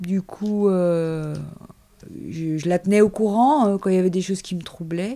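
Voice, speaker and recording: Speaking at a fairly slow pace with long, frequent pauses, a woman keeps a medium pitch with ordinary pitch variation. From Paris suburbs, France. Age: 50s. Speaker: shepherdess. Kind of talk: interview. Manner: casual, hesitant.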